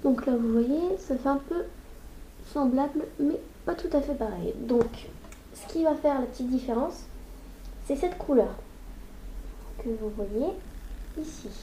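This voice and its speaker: Speaking very slowly with long, frequent pauses, a woman uses a high pitch and lively intonation, with audible room echo and noticeable background noise. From northern France. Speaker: makeup youtuber. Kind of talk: tutorial. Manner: casual, chatty.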